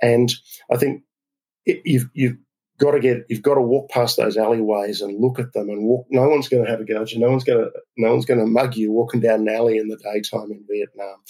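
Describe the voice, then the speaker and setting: A voice with a dark, mellow tone and an Australian accent moves at a very fast pace in a monotone, flat intonation. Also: man, medium pitch for a man. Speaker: business council president, frequent traveller. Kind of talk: interview.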